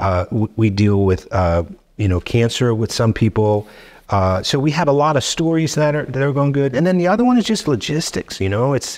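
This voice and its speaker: With very wide pitch swings, the speaker talks at a fairly quick pace against a quiet background. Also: man. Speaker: podcast guest. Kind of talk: interview answer. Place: studio. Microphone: studio mic.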